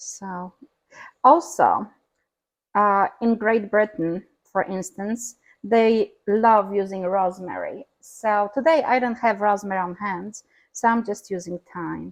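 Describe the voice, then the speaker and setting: A woman talks very slowly, and the background is quiet. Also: medium pitch for a woman, ordinary pitch variation. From Europe. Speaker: home cook. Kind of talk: cooking demonstration.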